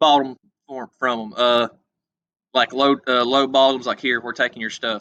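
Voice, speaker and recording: A man with an American accent speaks at a fairly high pitch in a bright, sharp tone, with dry, close sound and no echo. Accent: hillbilly. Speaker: history teacher. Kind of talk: lecture. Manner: hesitant, many filler words; casual, folksy.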